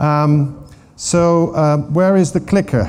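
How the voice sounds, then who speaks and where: A man with a Dutch accent speaks in a dark, mellow tone, with audible room echo. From Netherlands. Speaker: water governance expert. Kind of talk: conference talk. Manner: halting.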